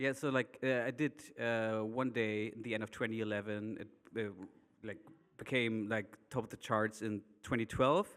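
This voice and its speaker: A man speaks with a German accent at a medium pitch. His pace is moderate and his intonation fairly even. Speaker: DJ and producer. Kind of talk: panel discussion.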